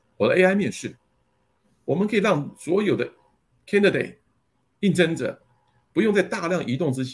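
Vocal fry runs through a man's speech as his pitch swings very widely. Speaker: company general manager. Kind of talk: interview. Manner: halting with many fillers.

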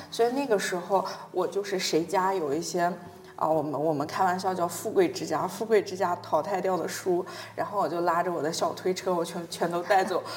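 A woman with a northern Chinese accent at medium pitch, fairly even intonation and a fairly quick pace, over noticeable background noise. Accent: northern Chinese dialect features. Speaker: podcast host. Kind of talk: casual interview.

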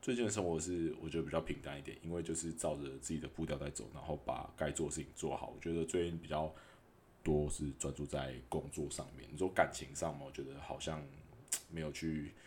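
A man with a very deep, low pitch and vocal fry talks at a fairly quick pace with fairly even intonation. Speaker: podcaster and food delivery rider. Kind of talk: casual monologue. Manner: hesitant, filler-heavy.

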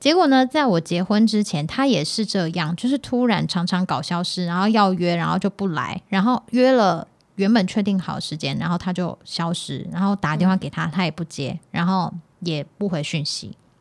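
At a moderate pace, a woman speaks with lively intonation and an animated tone, recorded very cleanly against a silent background. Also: medium pitch for a woman, hardly any pauses. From Taiwan, Hakka family. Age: 30s. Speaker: podcast co-host. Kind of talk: casual chat. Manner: animated, laughs often.

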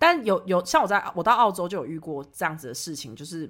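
A woman speaks very fast with a Taiwanese accent. Her tone is animated and her pitch swings very widely. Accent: Taiwanese Mandarin. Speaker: podcast host. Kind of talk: casual chat. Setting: remote recording. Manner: fast talker.

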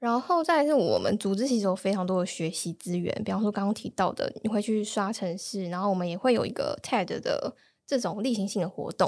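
A woman with a normal speaking voice and medium pitch talks at a fairly quick pace, with hardly any pauses. The recording is very clean, and the background is silent. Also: ordinary pitch variation. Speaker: data analyst. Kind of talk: casual interview chat.

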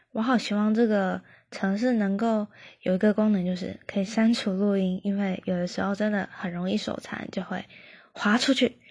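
The voice is somewhat breathy and flat, almost monotone, moving at a moderate pace over a quiet background. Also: woman, medium pitch for a woman. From Taiwan. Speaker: podcaster. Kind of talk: casual self-introduction monologue. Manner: halting, many fillers.

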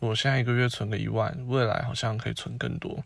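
Against a quiet background, a man speaks somewhat breathily at a medium pitch, with fairly even intonation and a moderate pace. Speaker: podcast host. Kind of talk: casual monologue.

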